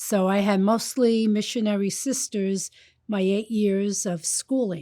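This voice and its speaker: In a New York accent, a woman with a medium-pitched, dark and mellow voice speaks very slowly with ordinary pitch variation, on a very clean recording with a silent background. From Brooklyn, New York. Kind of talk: interview testimony.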